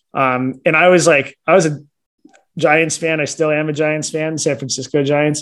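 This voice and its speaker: With an American accent, a man delivers his words at a moderate pace in a fairly high pitch and a monotone, flat intonation. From California, Silicon Valley. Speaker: baseball tour company owner. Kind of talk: interview. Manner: casual, hesitant with fillers.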